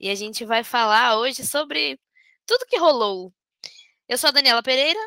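A woman's high, bright and sharp voice with lively intonation at a moderate pace, dry and close with no echo. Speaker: podcast host. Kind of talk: casual chat.

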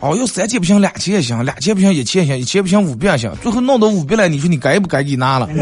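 Speaking very fast with hardly any pauses, this voice in a Northeastern Chinese accent swings very widely in pitch over noticeable background noise. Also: man, high pitch for a man. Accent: Northeastern Mandarin dialect. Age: 30s. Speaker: radio host. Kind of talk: casual comedic radio talk show. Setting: radio studio, also livestreamed. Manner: animated.

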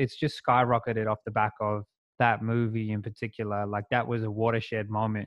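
An Australian accent at a moderate pace, in a monotone, flat intonation. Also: man. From South West Sydney, Australia. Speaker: hip hop artist. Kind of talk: casual interview chat. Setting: video call.

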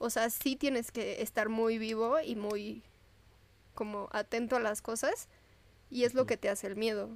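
Using an ordinary speaking voice, a woman with a fairly high pitch talks at a moderate pace with fairly even intonation. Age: 20s. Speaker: medical student. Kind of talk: casual chat.

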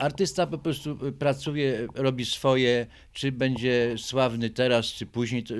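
Here a man is talking. His pitch variation is ordinary. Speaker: artist. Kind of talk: interview. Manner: halting.

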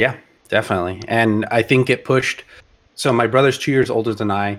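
With a plain, everyday voice, a man speaks at a moderate pace, medium pitch and ordinary pitch variation. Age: 30s. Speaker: podcast co-host. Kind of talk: casual chat.

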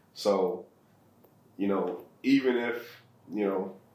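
A man with a fairly low pitch talks in a space with audible room echo. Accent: American. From US Midwest, Ohio (Akron inner city). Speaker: real estate investor and charity founder. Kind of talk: interview.

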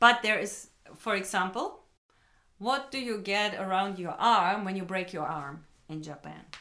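Heard with audible room echo, a woman at a medium pitch speaks at a very slow pace in a bright, sharp tone. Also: ordinary pitch variation, big swings in loudness. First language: German (speaking Japanese). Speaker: English school owner and teacher. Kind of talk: casual chat.

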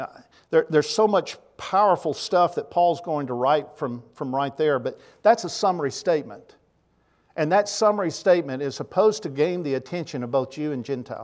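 In a Tennessee accent, a man talks at a fairly quick pace with a fairly high pitch and lively intonation, on a very clean recording with a silent background. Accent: Southern US (Tennessee). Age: 60s. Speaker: preacher. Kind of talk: sermon. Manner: halting, frequent repetitions.

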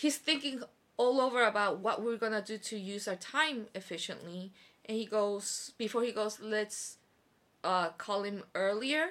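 A woman with a fairly high pitch speaks at a fairly slow pace, her tone bright, sharp and animated, her intonation lively. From overseas Korean. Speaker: teacher. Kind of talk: casual chat.

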